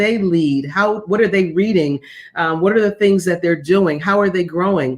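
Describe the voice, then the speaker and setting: A woman with a plain, everyday voice speaks at a moderate pace, her pitch fairly low and its variation ordinary. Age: 60s. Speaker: former executive and executive coach. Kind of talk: interview. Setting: video call.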